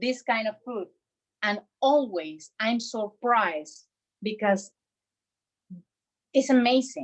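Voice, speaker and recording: Speaking very slowly with a Bogota accent, a woman uses a fairly high pitch and lively intonation, with long, frequent pauses. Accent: Colombian Spanish accent, Bogota-tinged. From Colombia, Cartagena. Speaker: chef. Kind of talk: cooking class. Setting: home kitchen. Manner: animated.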